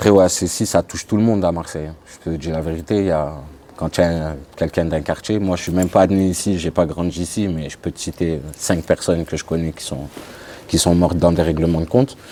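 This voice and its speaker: Over noticeable background noise, a man with a very deep, low pitch talks at a fairly quick pace with fairly even intonation and big swings in loudness. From France, Grenoble. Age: 30s. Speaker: ex-convict sharing his life story. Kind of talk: testimony interview.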